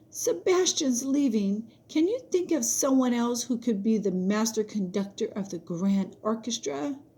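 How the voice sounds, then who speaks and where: Putting on a character voice, a woman speaks at a fairly high pitch and a moderate pace with hardly any pauses. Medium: read story. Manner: bright, eager.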